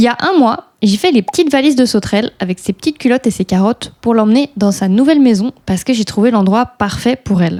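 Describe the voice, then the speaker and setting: A woman with a fairly high, dark, mellow voice speaks at a very fast pace with hardly any pauses and lively intonation. Her loudness stays very even, and the sound is dry and close with no echo. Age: 20s. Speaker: horse rider. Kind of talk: vlog voice-over narration.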